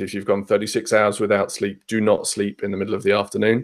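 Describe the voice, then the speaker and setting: Speaking with a southern English accent, a man with a fairly low pitch keeps a monotone, flat intonation. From southern England, Hampshire. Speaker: podcast guest, tech traveller. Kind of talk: casual chat. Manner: many fillers (um, uh).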